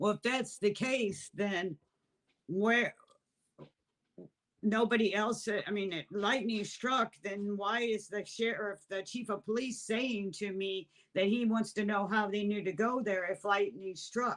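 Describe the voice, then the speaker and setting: A woman's plain, everyday voice, medium in pitch, fairly even in intonation and fairly slow in pace. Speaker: mother of a missing person. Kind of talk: interview testimony.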